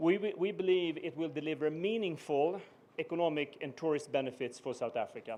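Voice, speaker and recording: A man with a slight Swedish accent talks at a fairly quick pace in a fairly high pitch, with ordinary pitch variation. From Sweden. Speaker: business executive. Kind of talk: formal speech. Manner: halting, many fillers.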